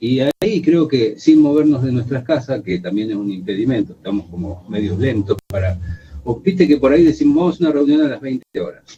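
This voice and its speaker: Speaking at a fairly quick pace, a man has a medium pitch with very wide pitch swings. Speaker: radio host. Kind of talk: radio interview.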